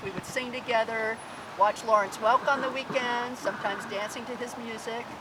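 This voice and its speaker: With an American accent, a woman at a fairly high pitch speaks at a moderate pace over noticeable background noise. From Oregon, US Pacific Northwest. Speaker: elderly storyteller. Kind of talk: personal life story told to a small group.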